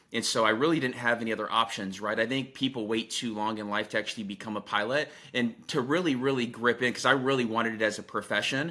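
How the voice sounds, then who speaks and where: Recorded very cleanly against a silent background, a man speaks at a very fast pace with a medium pitch and a bright, sharp tone. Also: hardly any pauses. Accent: American. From US West (Southern California, Arizona). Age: 30s. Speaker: real estate executive, former pilot. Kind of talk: podcast interview. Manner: animated.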